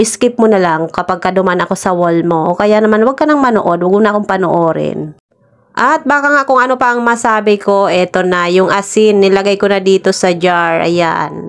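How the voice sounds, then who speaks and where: A woman has a normal speaking voice at a medium pitch, with ordinary pitch variation. She keeps a moderate pace and very even loudness. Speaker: vlogger. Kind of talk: voice-over vlog narration. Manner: casual.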